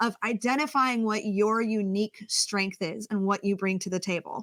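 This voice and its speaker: Loud and animated, a woman with a fairly high pitch and a bright, sharp tone speaks at a moderate pace with ordinary pitch variation. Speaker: communications coach. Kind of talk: interview.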